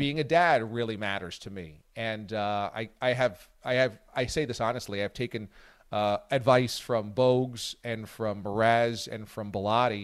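A man talks at a fairly slow pace at medium pitch, with ordinary pitch variation, in an unremarkable speaking voice. The recording is very clean, with a silent background. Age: 40s. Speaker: sports radio host. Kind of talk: casual chat. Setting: radio studio.

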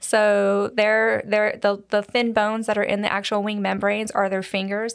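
A woman's medium-pitched voice, monotone and flat, at a moderate pace with hardly any pauses. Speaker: museum collections manager. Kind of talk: casual interview, explanatory. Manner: conversational, uses fillers.

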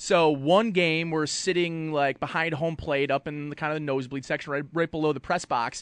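A man with an American accent and a plain, everyday voice speaks at a fairly quick pace with a fairly high pitch and ordinary pitch variation against a quiet background. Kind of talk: casual chat.

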